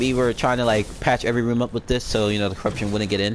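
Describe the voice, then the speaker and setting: Fairly even intonation from a man. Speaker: gaming YouTuber. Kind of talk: gameplay walkthrough commentary. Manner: fast; casual, filler-heavy.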